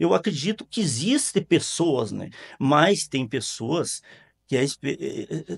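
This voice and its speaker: Vocal fry runs through the man's speech as his pitch swings very widely. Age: 70s. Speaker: local party president. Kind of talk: interview. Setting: studio. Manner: halting, many repetitions and fillers.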